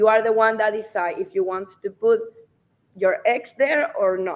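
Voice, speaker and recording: A woman with a Spanish accent speaks at a moderate pace in a fairly high pitch, her intonation lively. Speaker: real estate advisor. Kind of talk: live stream discussion. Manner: halting.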